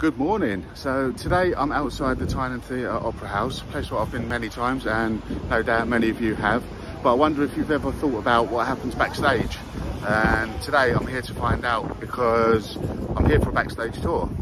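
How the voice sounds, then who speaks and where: This man talks at a moderate pace with ordinary pitch variation. The recording is dry with no echo but has noticeable background noise. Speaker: vlogger. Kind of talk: casual vlog chat. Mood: upbeat and friendly. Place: street. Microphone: phone near.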